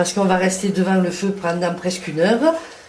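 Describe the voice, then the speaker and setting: Against noticeable background noise, a woman of medium pitch speaks at a fairly quick pace with fairly even intonation. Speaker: home cook. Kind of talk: cooking demonstration.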